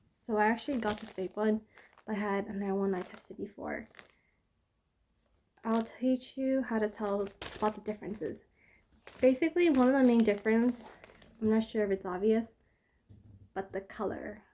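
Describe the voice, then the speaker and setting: Mumbling at a moderate pace with long, frequent pauses, a woman speaks at a fairly high pitch in a dark, mellow tone. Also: ordinary pitch variation. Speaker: product reviewer. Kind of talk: casual talk to camera. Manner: mumbling, hesitant.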